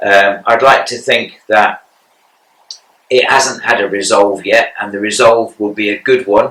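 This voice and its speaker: The speaker has an English accent. The pace is fairly slow. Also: man. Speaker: cancer patient podcaster. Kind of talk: personal monologue podcast. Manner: monotone; halting.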